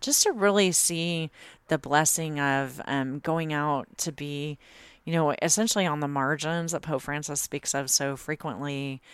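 A woman speaks at a fairly slow pace in a very deep, low voice with fairly even intonation, on a very clean recording with a silent background. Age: 50s. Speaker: author. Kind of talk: interview. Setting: priest's office.

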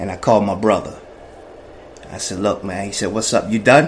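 Against noticeable background noise, someone with an American accent talks at a fairly quick pace. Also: man. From New Jersey, Jersey City projects. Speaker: person in addiction recovery. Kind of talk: personal testimony. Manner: animated.

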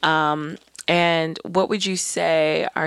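This woman's voice is very deep and low, and her pitch varies in an ordinary way. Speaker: podcast co-host. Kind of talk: casual chat.

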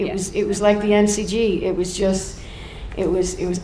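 The woman's words come at a moderate pace while noticeable background noise carries on behind her. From Ireland. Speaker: folk singer. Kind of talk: live podcast interview. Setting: stage with live audience.

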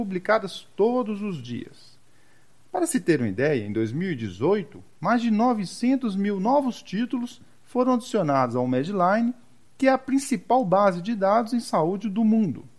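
This man's voice sits high in pitch and swings very widely as he speaks at a fairly slow pace. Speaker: intensive care physician and medical professor, podcast host. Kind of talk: scripted podcast trailer.

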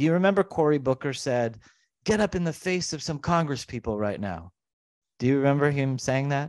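Over a quiet background, a man with an ordinary speaking voice talks at a fairly quick pace in a fairly high pitch with lively intonation, the sound dry and close with no echo. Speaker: podcast host. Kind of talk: casual political chat.

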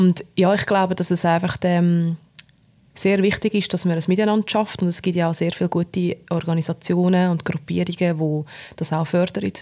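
Over a silent background in a very clean recording, a woman speaks with a Swiss German accent and a fairly low pitch. Her tone is dark and mellow, her intonation monotone and flat, and her loudness very even. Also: moderate pace. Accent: Swiss German dialect speaker. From Switzerland. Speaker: podcast co-host. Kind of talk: casual chat.

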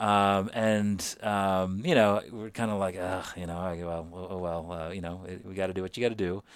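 A man with a very deep, low voice speaks at a moderate pace with fairly even intonation. His loudness swings widely in a very clean recording with a silent background. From India, Calcutta. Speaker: tech company CEO. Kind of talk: interview conversation. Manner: halting with many fillers.

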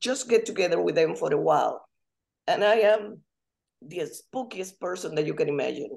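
A woman at a moderate pace with a Spanish accent. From Dominican Republic. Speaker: language instructor. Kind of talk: casual chat.

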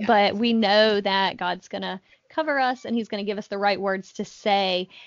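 Speaking at a moderate pace, a woman with an American accent uses a medium pitch. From US South, North Carolina. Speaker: podcast co-host. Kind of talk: casual chat.

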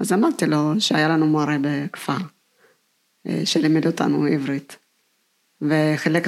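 In an Ethiopian accent, a woman with a very deep, low pitch speaks at a fairly slow pace with ordinary pitch variation. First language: Amharic (speaking Hebrew). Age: 50s. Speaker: kindergarten teacher and author. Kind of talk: personal testimony.

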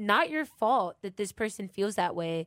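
A woman with a plain, everyday voice talks at medium pitch and a moderate pace with ordinary pitch variation, on a very clean recording with a silent background and a dry, close sound with no echo. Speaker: college radio host. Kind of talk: casual chat.

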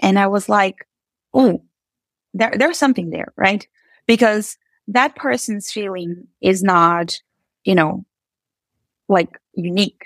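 The speaker has a Portuguese accent and talks at a fairly slow pace with long, frequent pauses. Pitch variation is ordinary, and the sound is dry and close with no echo. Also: woman, medium pitch for a woman. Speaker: software engineer and author. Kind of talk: interview.

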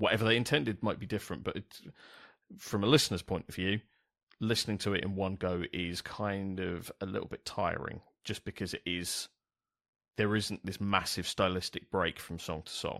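Speaking at a moderate pace with a London accent, a man with a fairly low pitch and ordinary pitch variation comes through in a very clean recording with a silent background and a dry, close sound with no echo. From South East London. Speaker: podcast host. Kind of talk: casual chat. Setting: studio with new microphone.

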